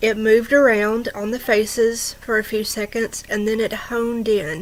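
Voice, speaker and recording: Against noticeable background noise, a woman with a fairly high voice speaks at a fairly slow pace. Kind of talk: true ghost story told to camera. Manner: conversational, with hesitations.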